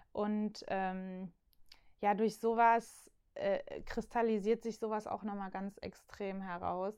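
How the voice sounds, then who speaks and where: A woman's fairly high, monotone voice with flat intonation at a very slow pace, on a very clean recording with a silent background. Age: 20s. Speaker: youth church worker. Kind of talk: casual chat.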